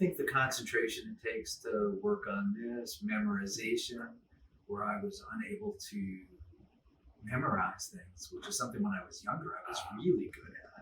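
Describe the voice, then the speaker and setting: Over noticeable background noise, a man talks at a moderate pace, his loudness swinging widely. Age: 70s. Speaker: retired ER doctor, guitar student. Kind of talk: interview. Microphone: poor quality audio.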